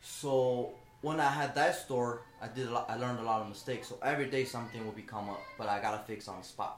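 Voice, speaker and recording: Over noticeable background noise, a man with a Chinese accent speaks at a very fast pace and medium pitch, with fairly even intonation and hardly any pauses. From China. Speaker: shoe business owner. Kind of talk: casual interview chat.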